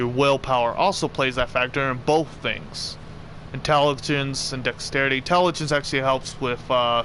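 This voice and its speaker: Fairly even intonation marks this man's medium-pitched voice. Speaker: gaming streamer. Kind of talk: live gameplay commentary. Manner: fast; self-correcting, halting.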